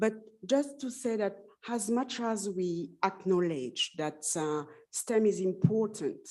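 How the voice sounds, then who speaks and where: A dark, mellow voice with a French accent moves at a very slow pace with lively intonation. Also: woman. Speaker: panelist at women in STEM forum. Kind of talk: panel discussion remarks. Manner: halting.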